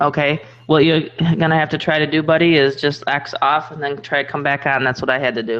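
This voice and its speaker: With music in the background, a woman talks at a fairly quick pace in a very deep, low voice with fairly even intonation. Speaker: network marketer. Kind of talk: casual online group chat. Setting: live video chat.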